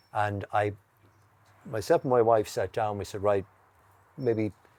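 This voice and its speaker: A man speaks with an Irish accent and a dark, mellow tone. His pitch is fairly low and his pace moderate. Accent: Irish (Mayo). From west of Ireland, County Mayo. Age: 60s. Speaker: horticulturist and garden centre owner. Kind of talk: casual interview chat. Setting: outdoors. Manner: halting, frequent restarts.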